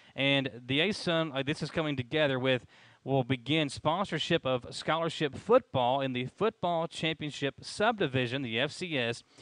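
A man speaks at a moderate pace with ordinary pitch variation, his voice dry with no echo over a quiet background. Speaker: sports show co-host. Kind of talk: commentary. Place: hall. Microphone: headset.

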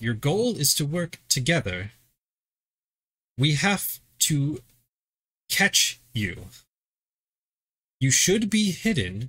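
A man's put-on character voice, fairly high in pitch, with very wide pitch swings, a very slow pace and long, frequent pauses. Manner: stern, instructive.

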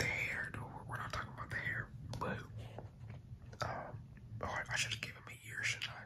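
Someone whispers at a moderate pace, leaving long, frequent pauses. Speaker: ASMR creator. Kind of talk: ASMR casual talk while drawing. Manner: whispered. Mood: shy, self-deprecating. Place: home room. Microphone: phone near.

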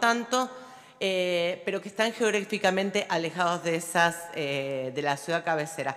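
The background is quiet as a woman speaks at a fairly slow pace. Her intonation is lively. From Olavarría, Buenos Aires Province, Argentina; Buenos Aires Province, Argentina. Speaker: local politician. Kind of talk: formal speech. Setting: legislative chamber. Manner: halting, with many fillers. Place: hall.

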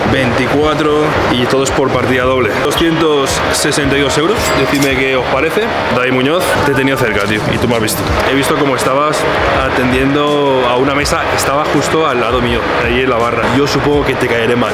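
A moderate pace with music in the background. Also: man. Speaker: food vlogger. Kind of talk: casual vlog chat. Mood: light, slightly ironic. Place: cafe. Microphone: phone near.

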